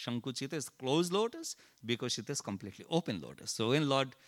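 A man speaks at a very fast pace in a bright, sharp tone. The recording is very clean with a silent background and a dry, close sound with no echo. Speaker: temple speaker, Hare Krishna devotee. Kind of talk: religious talk. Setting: temple. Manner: halting.

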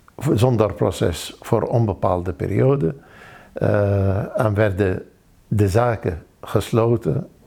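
In an Arabic accent, a man with a fairly low pitch and a dark, mellow tone speaks at a very slow pace. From Iraq, Baghdad. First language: Arabic (speaking Dutch). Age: 60s. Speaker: refugee. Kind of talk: testimony. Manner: halting.

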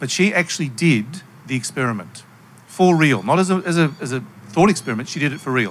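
A man speaking very fast with lively intonation. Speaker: panelist. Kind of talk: panel discussion. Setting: stage with audience.

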